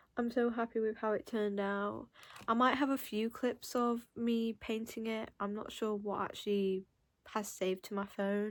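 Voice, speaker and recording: With a Mancunian accent, a woman speaks fairly slowly in a fairly high pitch and a flat, monotone intonation, on a very clean recording with a silent background. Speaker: artist vlogger. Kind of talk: casual vlog talk. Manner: hesitant, many ums.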